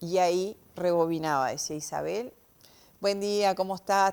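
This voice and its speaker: This woman has a normal speaking voice, pitched at a medium level, and her pitch varies in an ordinary way. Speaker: semiology expert. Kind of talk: TV interview explanation.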